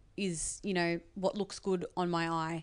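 In an Australian accent, a woman speaks at a fairly slow pace, her medium pitch showing ordinary variation. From Australia, Sydney western suburbs. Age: 20s. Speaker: beauty YouTuber and TV presenter. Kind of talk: casual interview. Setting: living room in an apartment.

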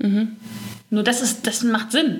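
The voice comes at a fairly quick pace with monotone, flat intonation, amid noticeable background noise and audible room echo. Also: woman. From Ruhr area, Germany (Gelsenkirchen). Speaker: skin coach, beautician. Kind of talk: interview. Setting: in person.

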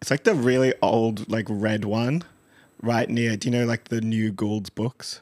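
This man speaks with an Australian accent at a fairly slow pace. The recording is very clean with a silent background. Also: medium pitch for a man, fairly even intonation, dry, close sound with no echo. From Western Sydney, Australia. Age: 30s. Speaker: podcast host. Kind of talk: casual chat.

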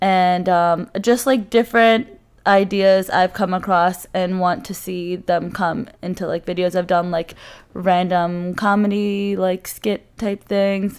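A woman with an American accent, medium-pitched and fairly even, very slow, on a very clean recording with a silent background. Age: 20s. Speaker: new co-host, student and YouTuber. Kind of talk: casual chat.

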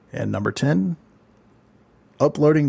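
This man's voice is somewhat breathy. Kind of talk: scripted monologue. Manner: fast.

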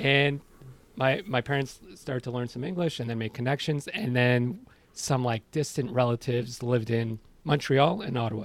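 Here is a man with a normal speaking voice at a medium pitch. His pace is moderate and his pitch variation ordinary. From Iran, moved to Canada as a child. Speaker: podcaster. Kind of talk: casual chat. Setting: remote call from home study.

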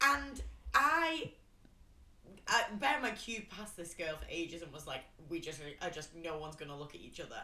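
A woman talks at a fairly quick pace. Noticeable background noise can be heard behind her. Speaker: podcast co-host. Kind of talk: casual chat. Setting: late-night recording.

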